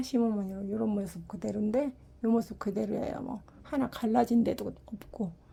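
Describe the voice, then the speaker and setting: A woman's dark, mellow, somewhat breathy voice. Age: 60s. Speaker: ceramic pot maker selling own work. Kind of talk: product showcase sales talk. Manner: casual, unedited one-take talk.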